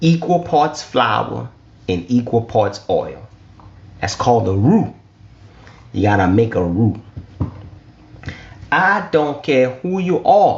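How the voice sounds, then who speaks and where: A man with an American accent speaks at a very slow pace, his pitch swinging very widely, with long, frequent pauses. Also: medium pitch for a man. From US South, Lafayette, southern Louisiana. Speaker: business funding educator. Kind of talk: online teaching talk. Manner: animated; repetitive.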